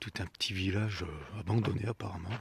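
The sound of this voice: A man is whispering, soft-spoken and husky. Vocal fry runs through his voice.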